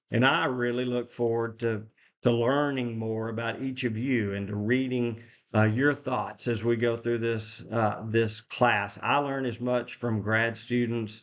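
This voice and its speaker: A man with an American accent speaks at medium pitch and a fairly slow pace. His intonation is monotone and flat. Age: 60s. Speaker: professor. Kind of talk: lecture. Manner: halting, many fillers.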